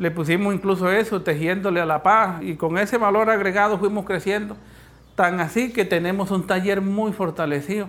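With a high pitch and fairly even intonation, a man talks at a moderate pace. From Colombia, Cesar (Caribbean region). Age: 40s. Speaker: former guerrilla, peace agreement signatory. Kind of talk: testimony. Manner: halting, repeats words.

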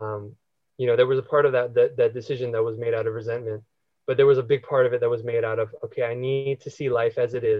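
A man talks at a very fast pace in a medium pitch, somewhat breathy. His intonation is monotone and flat. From US, partly raised in the Philippines. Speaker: spiritual seeker sharing life story. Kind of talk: podcast interview.

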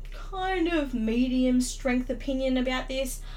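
Noticeable background noise sits behind a speaker with an Australian accent talking at a fairly slow pace. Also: woman. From Australia, Sydney (Darlinghurst). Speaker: podcaster. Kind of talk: casual monologue. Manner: halting, many fillers.

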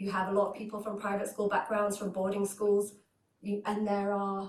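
Her delivery is very fast. The woman keeps a medium pitch and a monotone, flat intonation. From Hull, northern England. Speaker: journalist. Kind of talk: career talk. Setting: event room with live audience.

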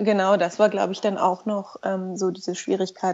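A woman's medium-pitched voice, flat and monotone, at a moderate pace. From Berlin. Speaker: mother of two, friend of host. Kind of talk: casual interview chat.

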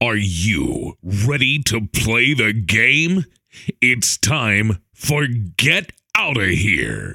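A man uses a booming, put-on character voice at a medium pitch and a very slow pace. The sound is dry and close, with no echo. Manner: excited, showy.

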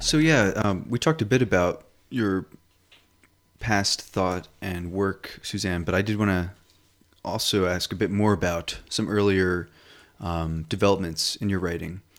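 A man's fairly low voice at a fairly slow pace, broken by long, frequent pauses. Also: ordinary pitch variation. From US, Pennsylvania. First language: not English. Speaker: writer and performer. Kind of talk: casual interview.

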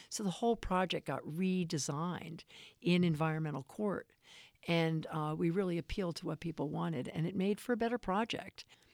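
An unremarkable speaking voice moves at a fairly quick pace with ordinary pitch variation. The recording is very clean and dry, close with no echo and a silent background. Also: woman, fairly low pitch for a woman. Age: 60s. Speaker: real estate developer and activist. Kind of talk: casual interview.

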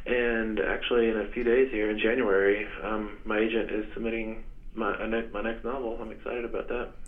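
Audible room echo surrounds a man speaking at a fairly quick pace. His medium pitch stays in a flat monotone. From West Texas. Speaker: novelist and English professor. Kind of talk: interview. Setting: phone call.

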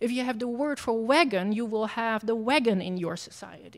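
The speaker has a Dutch accent. The pace is moderate. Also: woman. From Netherlands. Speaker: professor. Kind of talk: lecture. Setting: stage with audience.

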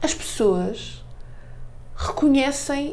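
A woman's voice is high in pitch yet dark and mellow in tone. Room echo can be heard around it. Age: 40s. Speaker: marketing director and author. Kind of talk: radio interview.

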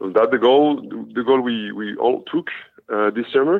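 This man talks at a moderate pace with a French accent. His pitch is medium, with ordinary variation. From France. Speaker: professional basketball player. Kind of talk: interview.

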